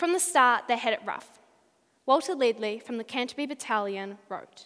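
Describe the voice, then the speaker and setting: The voice moves at a moderate pace against a quiet background. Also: woman. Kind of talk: memorized speech performance. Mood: solemn, dramatic war storytelling. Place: hall. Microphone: headset.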